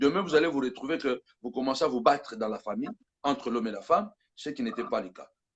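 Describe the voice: A man speaks with lively intonation. His voice carries a slightly husky edge.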